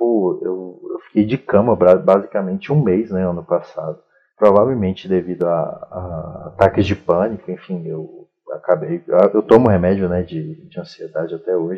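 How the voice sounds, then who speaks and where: Using an unremarkable speaking voice, a man talks at a moderate pace with a fairly low pitch and ordinary pitch variation. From Brazil, Federal District (Sobradinho). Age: 20s. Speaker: fiction writer. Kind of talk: casual chat.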